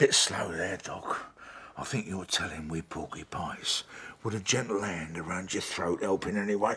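A man puts on a character voice that is low-pitched, with a bright, sharp tone and a husky, rough edge. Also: ordinary pitch variation, moderate pace.

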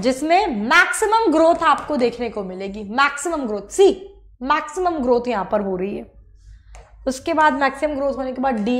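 At a fairly slow pace, a woman speaks in an animated tone with lively intonation. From India. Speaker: online biology teacher. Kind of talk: lecture. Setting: live online class. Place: studio.

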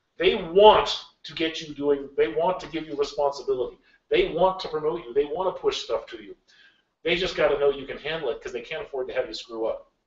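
Audible room echo fills the space as a man talks at a fairly quick pace with big swings in loudness. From Alaska (rural bush). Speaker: games industry executive; guest lecturer. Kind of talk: lecture. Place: classroom. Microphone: camera far.

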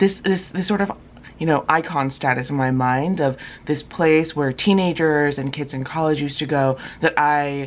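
A woman with a very deep, low pitch speaks with lively intonation. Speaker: travel vlogger. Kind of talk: casual vlog chat. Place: home room. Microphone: phone near.

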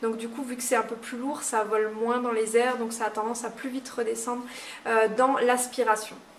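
At a moderate pace, a woman speaks with fairly high pitch and monotone, flat intonation, her loudness swinging widely over light background noise. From Moselle, France. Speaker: nail technician trainer. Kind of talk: tutorial; advice talk to camera. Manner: halting, many fillers.

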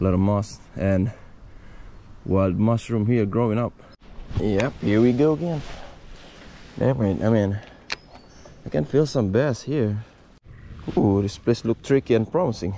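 A man with a non-native accent talks at a fairly slow pace, leaving long, frequent pauses. His fairly low voice has a dark, mellow tone and a dry sound with no echo over light background noise. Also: ordinary pitch variation. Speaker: angler. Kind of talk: casual fishing vlog commentary. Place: forest. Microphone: phone near.

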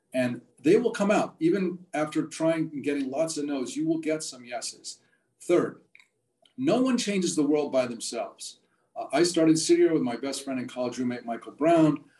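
A man's fairly high-pitched voice with a dark, mellow tone, lively intonation and a moderate pace. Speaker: nonprofit founder. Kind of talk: talk. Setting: video call. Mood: encouraging, earnest. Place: home room. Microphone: video call.

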